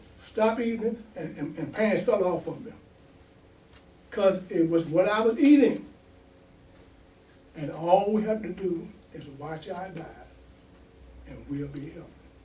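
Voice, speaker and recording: A man's high-pitched voice at a fairly slow pace, with ordinary pitch variation, big swings in loudness, long, frequent pauses and audible room echo. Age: 70s. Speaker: imam. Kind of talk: sermon. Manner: animated.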